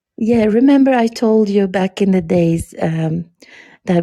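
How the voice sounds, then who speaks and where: Speaking at a moderate pace, a woman has a dark, mellow tone and ordinary pitch variation. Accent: non-native. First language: not English. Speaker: podcast guest. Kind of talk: casual chat. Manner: hesitant, many fillers.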